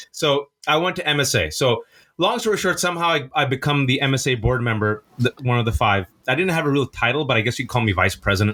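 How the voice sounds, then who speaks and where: Talking at a very fast pace with a Californian accent, a man keeps his loudness very even and his intonation lively. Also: medium pitch for a man. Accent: Californian American English. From US West Coast, Bay Area (Fremont), Pakistani family. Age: 40s. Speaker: playwright. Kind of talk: podcast interview. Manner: fast, animated storytelling.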